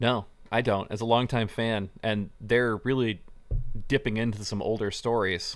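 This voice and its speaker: In a very clean recording with a silent background, a man talks at a moderate pace at medium pitch, his intonation monotone and flat. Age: 30s. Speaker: comic book store podcast co-host. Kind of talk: casual chat.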